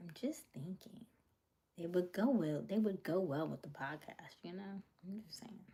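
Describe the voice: Her dark, mellow tone sits at a fairly low pitch for a woman, with ordinary pitch variation and a moderate pace.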